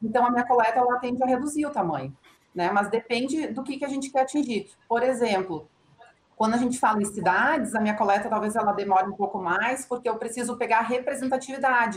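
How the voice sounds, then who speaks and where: Speaking very fast, a woman uses a fairly high pitch. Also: ordinary pitch variation. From São Leopoldo, Rio Grande do Sul, Brazil. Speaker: business administrator, retail researcher. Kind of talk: casual chat.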